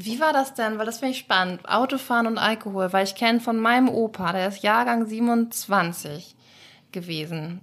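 A plain, everyday voice from a woman, fairly high in pitch with ordinary pitch variation, on a very clean recording against a silent background. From Schleswig-Holstein, Germany. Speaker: podcast host. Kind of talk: interview.

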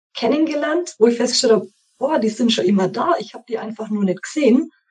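This woman's voice is fairly high, and her pitch varies in an ordinary way. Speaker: course participant. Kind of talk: interview.

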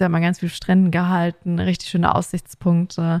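A woman at a moderate pace and fairly low pitch, in a dry, close sound with no echo. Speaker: podcast co-host. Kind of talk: casual chat. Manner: mumbling.

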